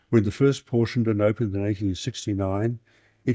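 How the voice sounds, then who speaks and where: A man with an Australian accent speaks in a medium pitch with a dark, mellow tone. The recording is very clean and dry, close-up with no echo and a silent background. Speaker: historian. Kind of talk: lecture. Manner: fast.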